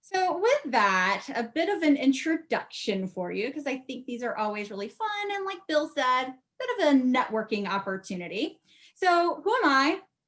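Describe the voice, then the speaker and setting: Speaking at a moderate pace, a woman with an American accent uses a high pitch and very wide pitch swings. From US Southeast, teen years in Ohio. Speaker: market research leader. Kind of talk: conference presentation.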